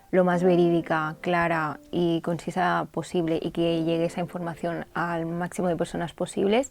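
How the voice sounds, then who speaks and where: Recorded very cleanly over a silent background, a woman speaks at a fairly low pitch in a monotone, flat intonation. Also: moderate pace, hardly any pauses. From Catalonia, Spain. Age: 20s. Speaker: journalist. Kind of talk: interview answer.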